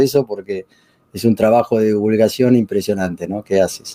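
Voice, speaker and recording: Close and dry with no echo, the recording catches a man's voice. His tone is dark and mellow, and his pitch varies in an ordinary way. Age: 60s. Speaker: author and retired professor. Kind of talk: interview. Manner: halting.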